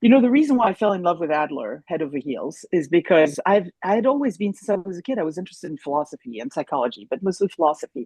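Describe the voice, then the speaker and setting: A woman with a German accent speaks at a very fast pace in a fairly low, dark, mellow voice. Her pitch swings very widely, and the sound is dry and close with no echo. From France, Paris. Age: 60s. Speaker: therapist. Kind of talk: interview. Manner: animated.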